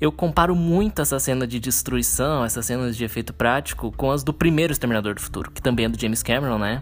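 Over music in the background, a man talks very fast with hardly any pauses, his medium pitch showing ordinary variation. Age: 20s. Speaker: podcaster. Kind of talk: casual solo podcast monologue. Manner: unscripted, conversational with fillers.

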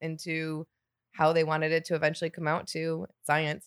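A woman with a Michigan accent speaks in a fairly low pitch, recorded dry and close with no echo. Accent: Michigan American. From Michigan, Detroit suburbs. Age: 40s. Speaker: distillery sales rep. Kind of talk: casual chat.

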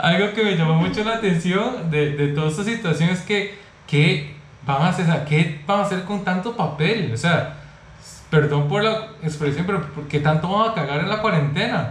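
A high-pitched male voice at a moderate pace, with ordinary pitch variation, audible room echo and noticeable background noise. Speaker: YouTube channel host. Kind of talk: online interview.

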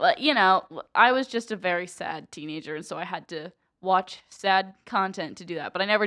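Over a quiet background, a woman with a Midwestern American accent speaks at a medium pitch with ordinary pitch variation and a bright, sharp tone. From central Ohio. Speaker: college student podcaster. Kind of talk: casual chat.

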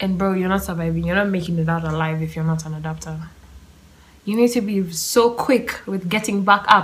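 Speaking at a fairly quick pace, a woman with fairly low pitch and ordinary pitch variation is heard over noticeable background noise. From Kenya. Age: 20s. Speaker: podcast host. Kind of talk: solo monologue. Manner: casual, laughing often.

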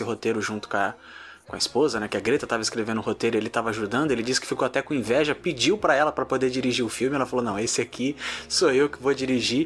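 The man's voice sits at a medium pitch, with ordinary pitch variation. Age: 20s. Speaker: podcast host. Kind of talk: casual chat.

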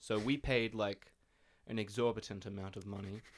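In an Australian accent, a man with a fairly low pitch talks at a moderate pace on a very clean recording with a silent background. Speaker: podcast co-host and band musician. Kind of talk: casual chat.

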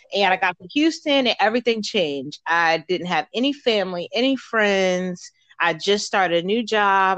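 With an American accent, a woman uses an ordinary speaking voice at a medium pitch, lively intonation and a moderate pace, in a dry, close sound with no echo. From Baltimore, Maryland. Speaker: entrepreneur and soldier. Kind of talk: interview.

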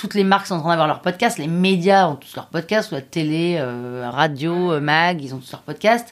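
The tone is animated. Pitch varies in an ordinary way at a moderate pace. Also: woman. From Paris, France. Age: 30s. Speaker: podcast creator. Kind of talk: interview.

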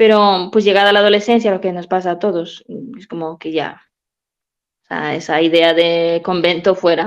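Medium-pitched woman's voice with fairly even intonation. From Peru. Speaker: nun. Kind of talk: radio talk show interview.

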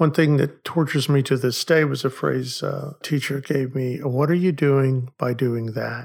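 In an American accent, a man speaks at a fairly slow pace with hardly any pauses. His voice is fairly high-pitched, somewhat breathy and fairly even in intonation. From Oklahoma, US. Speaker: psychology professor. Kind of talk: casual discussion.

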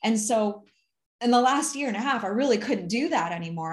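Speaking at a fairly quick pace against a quiet background, a woman with an American accent sounds somewhat breathy. Her pitch swings very widely. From US Midwest (Ann Arbor, Michigan). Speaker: accountant and finance advisor. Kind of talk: casual interview chat.

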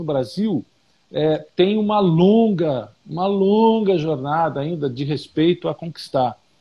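A man's high voice with lively intonation at a very slow pace. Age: 50s. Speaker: artist. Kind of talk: casual interview. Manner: talkative.

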